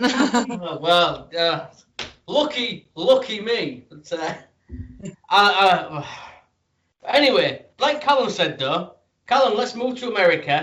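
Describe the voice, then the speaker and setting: A man with a British accent speaks at a very slow pace, leaving long, frequent pauses. His high voice swings very widely in pitch. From Britain. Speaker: wrestling podcast host. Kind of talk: casual interview chat.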